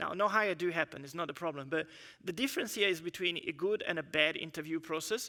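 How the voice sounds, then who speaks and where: A man speaks very fast in a high, bright, sharp voice with ordinary pitch variation. The recording is very clean, with a silent background. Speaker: engineering manager giving a conference talk. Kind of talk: conference presentation.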